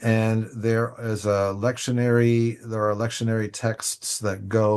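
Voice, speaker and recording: A very slow pace over a quiet background. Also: man. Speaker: church leader presenting liturgy resources. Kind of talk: online presentation with screen share.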